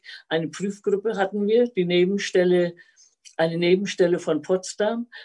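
A woman's dark, mellow voice, fairly slow and with fairly even intonation. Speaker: retired teacher. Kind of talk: personal life story.

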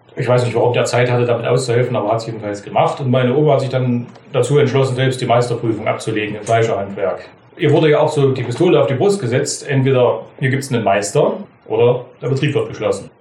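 A man at medium pitch talks at a very fast pace with ordinary pitch variation, amid noticeable background noise and audible room echo. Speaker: master butcher. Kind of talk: storytelling interview.

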